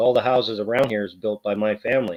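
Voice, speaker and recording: A man talks at a moderate pace and medium pitch in an unremarkable speaking voice. His intonation stays fairly even. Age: 40s. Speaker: YouTuber. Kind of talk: casual chat.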